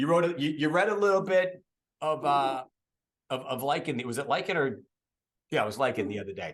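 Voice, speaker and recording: With an American accent and lively intonation, the speaker moves at a fairly quick pace between long, frequent pauses. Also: man, fairly high pitch for a man. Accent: Boston accent, dropped when reading. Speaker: podcast host and voice actor. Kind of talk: casual chat.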